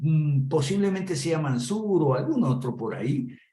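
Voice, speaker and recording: Someone talks at a moderate pace. Noticeable background noise and audible room echo fill the recording. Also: man. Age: 70s. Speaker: political commentator. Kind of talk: political commentary.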